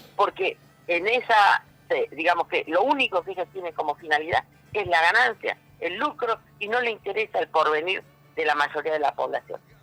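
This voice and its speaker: With music in the background, a man speaks at a moderate pace in a raised, projected voice with lively intonation, the sound dry and close with no echo. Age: 60s. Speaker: political candidate and labor activist. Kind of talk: interview. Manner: halting, with many fillers.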